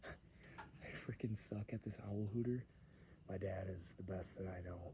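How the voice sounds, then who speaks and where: An American-accented man is whispering. He sounds somewhat breathy and goes at a fairly slow pace. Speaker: outdoor vlogger. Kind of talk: casual vlog narration. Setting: outdoors. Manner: half-whispering.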